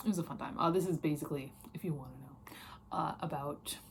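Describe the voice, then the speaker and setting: An American accent marks this woman's very deep, low pitch. Her tone is animated, her pace fairly quick, and her pitch variation ordinary. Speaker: book reviewer. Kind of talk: casual chat. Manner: halting.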